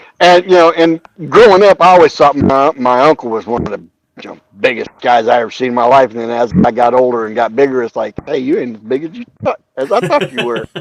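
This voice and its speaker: Very fast speech with lively intonation and big swings in loudness comes through a dry, close sound with no echo. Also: man, medium pitch for a man. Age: 50s. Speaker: army veteran. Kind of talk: casual chat.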